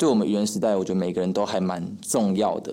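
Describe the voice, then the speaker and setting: A dark, mellow tone carries through audible room echo. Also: man. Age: 20s. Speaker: young comedy actor. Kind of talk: casual interview chat.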